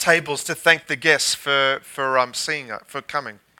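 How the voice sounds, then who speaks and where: The man's voice has a bright, sharp tone. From Australia. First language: English (speaking French). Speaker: guest pastor. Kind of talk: sermon.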